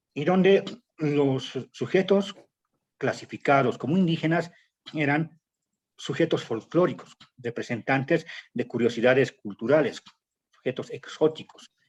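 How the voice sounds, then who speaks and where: A man's fairly high voice, fairly slow pace, lively intonation, and long, frequent pauses. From Bolivia, El Alto / La Paz. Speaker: political activist and writer. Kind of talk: academic panel talk. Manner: hesitant, many fillers.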